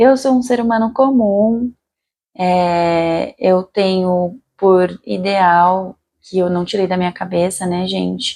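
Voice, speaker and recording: A woman speaks with a dark, mellow tone. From Brazil, São Paulo city. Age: 30s. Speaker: general practitioner doctor. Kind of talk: self-introduction video monologue. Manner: casual, conversational.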